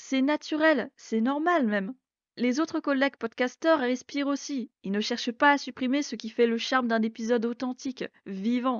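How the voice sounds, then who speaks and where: A woman talks at a moderate pace. Her pitch is high, with ordinary pitch variation. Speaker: education podcaster. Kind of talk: scripted podcast monologue.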